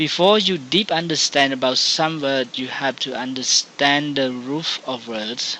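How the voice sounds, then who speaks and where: Noticeable background noise sits behind a man speaking at a fairly slow pace with a medium pitch. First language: Khmer. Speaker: English teacher. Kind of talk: tutorial. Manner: halting.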